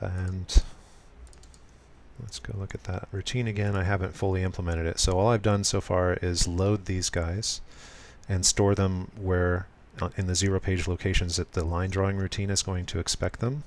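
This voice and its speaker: A man speaks in a very deep, low voice. His delivery is monotone and flat at a moderate pace. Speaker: programmer live streaming. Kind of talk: live coding tutorial. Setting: live stream. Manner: soft, smooth delivery; hesitant, many fillers.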